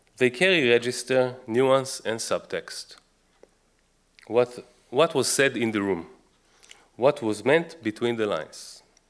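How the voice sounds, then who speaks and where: With an Israeli accent, a man talks at a fairly slow pace, leaving long, frequent pauses. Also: medium pitch for a man, ordinary pitch variation. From Israel, Jerusalem. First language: Hebrew. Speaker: author and researcher. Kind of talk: book talk lecture.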